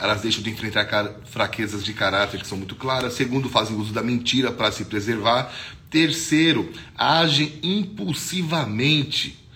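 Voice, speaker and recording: With lively intonation, a man speaks at a moderate pace and medium pitch amid audible room echo. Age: 40s. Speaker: pastor. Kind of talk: devotional sermon. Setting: social media video. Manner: casual, conversational.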